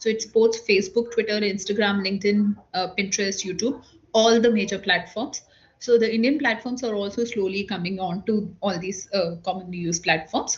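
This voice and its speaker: A woman speaks in a somewhat breathy voice. Her intonation is fairly even and her pace moderate. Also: medium pitch for a woman. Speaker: government social media officer. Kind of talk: online workshop presentation.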